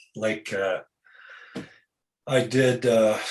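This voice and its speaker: A man's fairly low voice with fairly even intonation. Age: 60s. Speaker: author and bodybuilding writer. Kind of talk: interview. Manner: halting.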